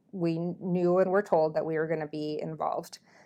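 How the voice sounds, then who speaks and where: On a very clean recording with a silent background, a woman with an Upper Midwest accent speaks with fairly even intonation. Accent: Upper Midwest American. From Minnesota. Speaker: military flight nurse. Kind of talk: casual interview.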